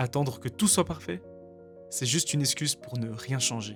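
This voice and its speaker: Music plays behind a man speaking with a Belgian accent. His pitch is medium and his pace moderate. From Belgium. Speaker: vlogger. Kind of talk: reflective voice-over narration.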